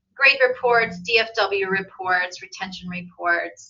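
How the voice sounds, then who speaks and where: Here a woman speaks in an unremarkable speaking voice. Her pitch is medium, with ordinary pitch variation. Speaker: embedded tutoring program coordinator. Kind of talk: conference presentation.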